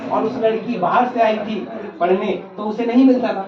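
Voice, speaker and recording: A man speaks at a high pitch with an Odia accent. Audible room echo and noticeable background noise surround the voice. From India, Odisha. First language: Odia (speaking Hindi). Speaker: English teacher. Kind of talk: classroom lecture.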